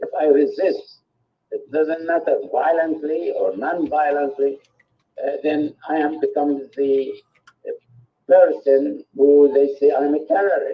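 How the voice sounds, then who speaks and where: Someone speaks at a very slow pace in an Arabic accent. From Palestine. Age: 80s+. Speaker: peace activist. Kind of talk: testimony.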